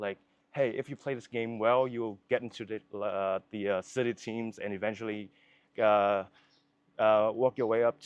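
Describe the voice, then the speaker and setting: A man's fairly low voice with a Vietnamese accent and monotone, flat intonation. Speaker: filmmaker. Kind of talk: casual interview chat. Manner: halting, many fillers and restarts.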